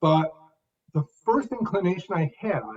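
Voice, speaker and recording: A man's high voice with very wide pitch swings, dry and close with no echo. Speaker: author and public speaker. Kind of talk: interview answer.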